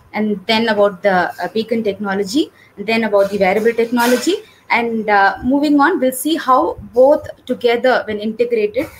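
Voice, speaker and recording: A somewhat breathy voice moves at a fairly quick pace over light background noise. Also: woman, ordinary pitch variation. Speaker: webinar presenter. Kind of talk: lecture.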